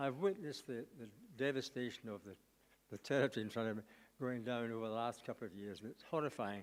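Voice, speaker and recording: A man speaks at a fairly quick pace with a Scottish accent. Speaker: local resident. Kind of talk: public submission.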